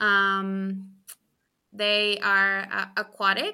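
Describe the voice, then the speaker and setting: In a very clean recording with a silent background, a woman with a Spanish accent speaks at medium pitch in a bright, sharp tone. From Chile. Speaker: postdoctoral ecologist. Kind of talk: interview.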